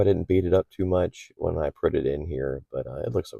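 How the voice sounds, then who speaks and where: A man mumbles as he speaks. His pace is fairly quick. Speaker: aquarium hobbyist YouTuber. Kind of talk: casual tutorial. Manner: slight mumbling; hesitant, many fillers.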